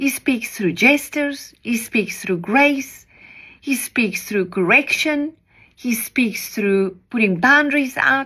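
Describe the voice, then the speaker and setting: A woman's high-pitched voice with a South African accent, bright, sharp tone, lively intonation and very slow pace, on a very clean recording with a silent background. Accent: Afrikaans-accented English. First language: Afrikaans. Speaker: preacher. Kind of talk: devotional message.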